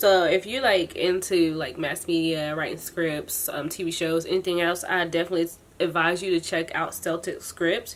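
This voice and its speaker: A woman's fairly low-pitched voice with hardly any pauses. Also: fairly even intonation. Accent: American. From US South. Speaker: tech vlogger. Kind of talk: casual chat. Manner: fast; casual, filler-heavy.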